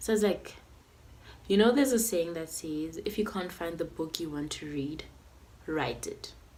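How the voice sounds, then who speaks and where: Amid audible room echo, a woman with a fairly low pitch speaks at a moderate pace, leaving long, frequent pauses. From South Africa, Pretoria (Gauteng). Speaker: YouTuber. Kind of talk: casual vlog talk.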